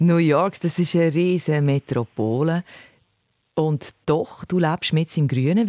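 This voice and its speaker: In a Swiss accent, a woman speaks with a very deep, low pitch and a dark, mellow tone at a fairly slow pace. Her loudness stays very even, and the recording is very clean with a silent background. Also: dry, close sound with no echo. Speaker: radio host. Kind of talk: radio interview.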